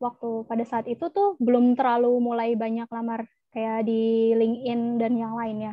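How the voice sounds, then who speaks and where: A woman's fairly high-pitched, a plain, everyday voice, against a quiet background with a dry sound and no echo. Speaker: data analyst. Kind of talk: presentation; lecture. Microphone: video call.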